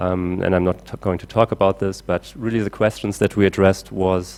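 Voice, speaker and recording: A man with a German accent. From Germany. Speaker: climate engineer. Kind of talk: conference talk. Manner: halting with many fillers.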